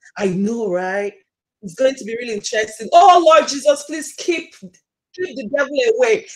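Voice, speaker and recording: Speaking at a moderate pace with a strong Nigerian accent, a woman's high voice swings very widely in pitch and jumps a lot in loudness. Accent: thick Nigerian. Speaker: YouTuber. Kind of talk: casual live stream chat. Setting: live stream video call.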